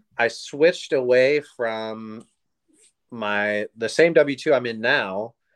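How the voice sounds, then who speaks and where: Against a quiet background, a man with an American accent speaks very slowly at a medium pitch with ordinary pitch variation. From US West Coast, Oregon. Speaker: real estate investor and Army National Guard member. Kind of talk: casual interview.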